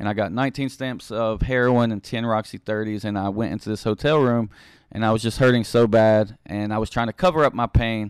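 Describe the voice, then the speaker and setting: A medium-pitched man in an American accent, at a fairly quick pace with fairly even intonation, on a very clean recording with a silent background. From West Virginia, Beckley. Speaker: ministry founder, former addict. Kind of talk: testimony. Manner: hesitant, many fillers.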